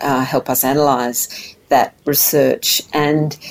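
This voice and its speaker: A woman speaks with an Australian accent. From Tasmania, Australia. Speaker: mental health policy director. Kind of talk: interview.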